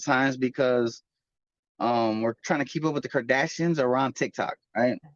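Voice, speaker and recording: At a moderate pace, a man with an American accent and a plain, everyday voice speaks at medium pitch with ordinary pitch variation in a dry, close sound with no echo. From Chicago, US Midwest. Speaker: author and recording artist. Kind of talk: interview. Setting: video call.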